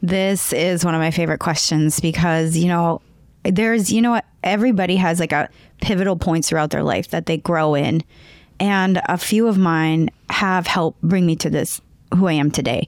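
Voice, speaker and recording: A woman speaks at a moderate pace and fairly low pitch, with ordinary pitch variation and very even loudness, on a very clean recording with a silent background. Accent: North Dakota. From North Dakota. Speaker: podcaster and emotional intelligence speaker. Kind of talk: interview conversation.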